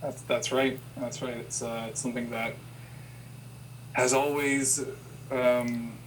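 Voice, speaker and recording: Very slow, monotone speech in a Canadian accent, with long, frequent pauses and audible room echo. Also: man, medium pitch for a man. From Ontario, Canada. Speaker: person who stutters, interviewee. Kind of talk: interview. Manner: halting, with repetitions.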